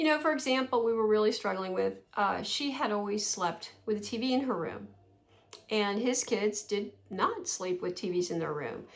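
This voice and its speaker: Amid noticeable background noise, a woman with an American accent speaks at a moderate pace in a fairly high pitch with lively intonation. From New Jersey. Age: 60s. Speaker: vlogger. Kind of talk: casual storytelling vlog. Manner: conversational with fillers.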